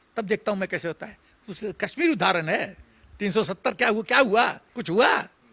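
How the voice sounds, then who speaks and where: A man with a high pitch uses a raised, projected voice at a moderate pace. His tone is bright, sharp and animated. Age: 70s. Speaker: retired army general. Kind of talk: political commentary interview. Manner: animated, emphatic.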